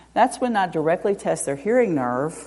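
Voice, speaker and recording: This woman's voice is dark and mellow, pitched fairly low. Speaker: audiologist. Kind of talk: lecture. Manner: loud.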